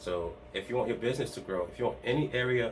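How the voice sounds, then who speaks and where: Here a man speaks fairly quickly. The pitch varies in an ordinary way. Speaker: part-time online reseller and video host. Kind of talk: casual vlog talk to camera. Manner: fast; halting, many restarts and fillers.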